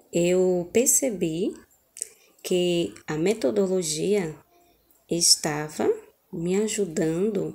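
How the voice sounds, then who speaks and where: Against a quiet background, a woman with a medium-pitched, dark and mellow voice speaks at a very slow pace. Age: 30s. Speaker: sign language student. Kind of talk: testimony. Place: home room. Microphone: phone near.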